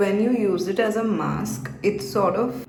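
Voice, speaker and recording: A woman at a fairly slow pace with ordinary pitch variation, music in the background and audible room echo. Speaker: beauty vlogger. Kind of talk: casual vlog tutorial. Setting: at home at night. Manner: slow, quiet.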